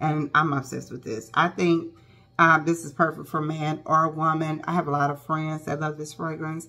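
A woman with a very deep, low pitch speaks at a moderate pace. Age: 40s. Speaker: beauty vlogger. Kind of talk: casual vlog talk to camera. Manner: animated, chatty. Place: home room. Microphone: phone near.

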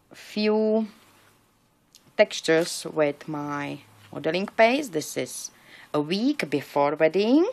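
A woman with a non-native accent mumbles very slowly in a fairly low voice, with long, frequent pauses. Her intonation is lively. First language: not English. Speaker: paper crafter. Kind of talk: crafting tutorial; casual tutorial show-and-tell. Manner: mumbling; halting. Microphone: phone near.

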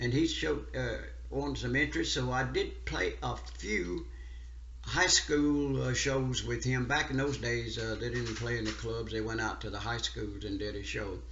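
With an American accent, a man talks at a moderate pace amid audible room echo. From US South, rural central Louisiana. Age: 80s+. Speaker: steel guitar player. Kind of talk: interview. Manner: halting.

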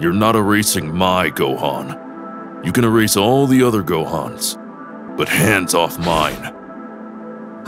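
Putting on a character voice, a man speaks very deep and low at a fairly slow pace while clear music plays in the background. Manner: blunt, dry.

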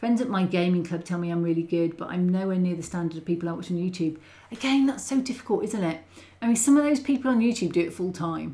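The voice is somewhat breathy with a dark, mellow tone. It moves at a very fast pace with lively intonation. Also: woman. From UK. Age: 40s. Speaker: model railway YouTuber. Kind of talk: livestream chat; casual livestream chat. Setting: livestream. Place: home room.

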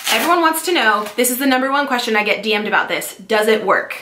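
A woman with a Californian accent speaks at a fast pace in a bright, sharp tone, with audible room echo. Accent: Californian American.

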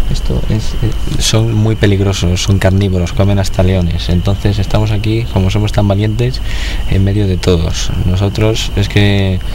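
Noticeable background noise sits behind a man speaking at a moderate pace with very even loudness. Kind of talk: casual vlog chat. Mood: joking, mock-brave.

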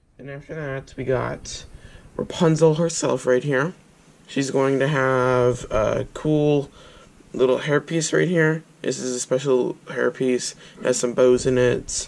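This man speaks at a fairly slow pace with fairly even intonation. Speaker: toy reviewer. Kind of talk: casual product review. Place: home room. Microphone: phone near.

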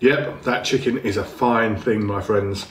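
The man keeps a moderate pace. Echo from the room is audible. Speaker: food reviewer. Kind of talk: casual food review. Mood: enthusiastic, pleased. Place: home room.

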